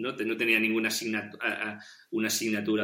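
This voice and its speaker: Taking a fairly slow pace, a man talks at a medium pitch. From Catalonia, Spain (Penedès). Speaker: podcast interview guest. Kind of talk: casual interview chat. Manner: halting, many repetitions and fillers.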